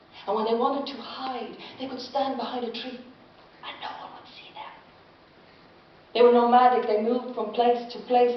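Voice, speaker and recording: A woman speaks in a high pitch, her loudness swinging widely, with noticeable noise behind her. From Ireland. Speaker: storyteller. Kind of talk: live storytelling performance. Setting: live audience.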